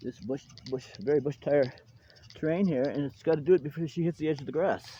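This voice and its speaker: Against noticeable background noise, a man talks very fast at a fairly high pitch with ordinary pitch variation. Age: 60s. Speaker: RC hobbyist video host. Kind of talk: casual outdoor demo commentary. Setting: outdoors. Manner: animated.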